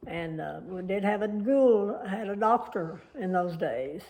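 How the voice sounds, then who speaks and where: A woman talks with an Oklahoma accent and ordinary pitch variation. There is audible room echo. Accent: rural Oklahoma Southern US. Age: 80s+. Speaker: elderly woman recounting family history. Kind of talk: oral history interview. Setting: family home. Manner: halting.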